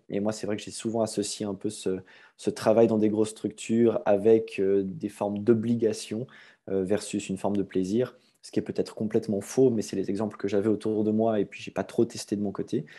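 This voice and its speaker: A man with a Swiss accent speaks at a fairly quick pace in a dark, mellow tone with a fairly low pitch and monotone, flat intonation. His loudness swings widely against a quiet background. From Switzerland, Vaud (near Aubonne). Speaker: gym owner. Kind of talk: podcast interview.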